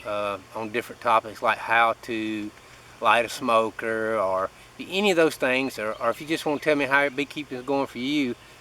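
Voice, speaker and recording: A man speaks at a moderate speed, his pitch moving in an ordinary way, while noticeable noise sits in the background. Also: medium pitch for a man. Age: middle-aged. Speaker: beekeeper. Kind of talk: casual vlog tutorial.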